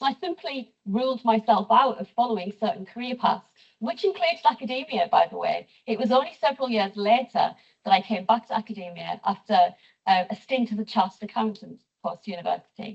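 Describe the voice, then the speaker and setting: In a Teesside accent, a woman speaks at a fairly quick pace with a fairly high pitch and lively intonation. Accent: northern English, Teesside. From northern England, Teesside. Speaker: professor. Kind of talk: lecture. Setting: lecture theatre with audience.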